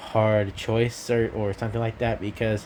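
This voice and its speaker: A man speaks quietly. His pitch sits in the medium range. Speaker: gaming YouTuber. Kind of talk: casual vlog. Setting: at home at night. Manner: talking quietly; halting, many fillers.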